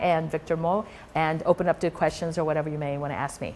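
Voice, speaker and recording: The speaker goes at a very fast pace with ordinary pitch variation. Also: woman. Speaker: rheumatologist. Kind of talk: lecture. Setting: stage with audience.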